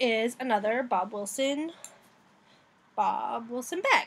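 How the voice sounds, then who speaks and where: A woman's high voice in an American accent, full of very wide pitch swings, in a very clean recording with a silent background. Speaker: craft vlogger. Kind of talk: casual vlog. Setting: outdoors.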